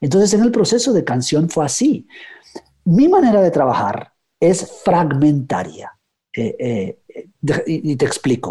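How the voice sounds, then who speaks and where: Speaking at a very slow pace, a man uses a high pitch and a dark, mellow tone with very wide pitch swings. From Guatemala, raised in the United States. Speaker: writer. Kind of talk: interview. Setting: radio program. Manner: halting, many fillers and repetitions.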